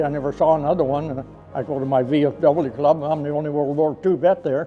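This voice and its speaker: Against music in the background, a man with a fairly high pitch talks at a fairly quick pace with fairly even intonation. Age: 80s+. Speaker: war veteran. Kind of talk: interview.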